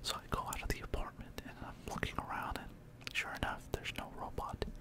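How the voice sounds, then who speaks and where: A woman whispers in a relaxed tone at a fairly quick pace. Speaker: ASMR creator. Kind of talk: ASMR storytelling ramble. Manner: whispered; relaxed, soft-spoken. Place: home room. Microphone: studio mic.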